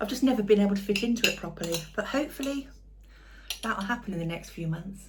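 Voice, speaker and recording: A soft-spoken woman with a British accent talks at a fairly quick pace and medium pitch, her intonation lively. Audible room echo and noticeable background noise are present. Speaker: cooking channel host. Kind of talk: casual cooking vlog talk to camera. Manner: trying to speak loudly.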